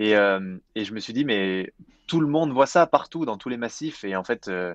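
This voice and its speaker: In a plain, everyday voice, a man speaks at a moderate pace with ordinary pitch variation, the sound dry and close with no echo. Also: quiet background. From France, Jura mountains. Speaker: entrepreneur, climate initiative co-founder. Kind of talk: interview. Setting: remote, mountain chalet.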